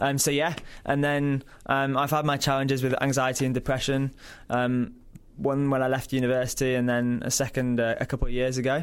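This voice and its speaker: A man at a fairly quick pace, monotone and flat in intonation, with very even loudness, on a very clean recording with a silent background. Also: medium pitch for a man. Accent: Yorkshire. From Yorkshire, northern England. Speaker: mental health organization product manager. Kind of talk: interview. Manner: frequent ums, conversational.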